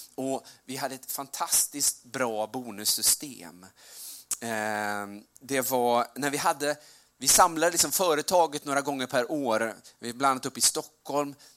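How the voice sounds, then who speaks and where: This man has an ordinary speaking voice, medium in pitch, with ordinary pitch variation and a fairly slow pace. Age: 40s. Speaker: preacher. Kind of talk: sermon.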